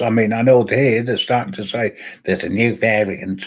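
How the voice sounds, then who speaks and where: At a moderate pace, a man talks with a British accent. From UK. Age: old. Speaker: live stream host. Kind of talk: casual chat.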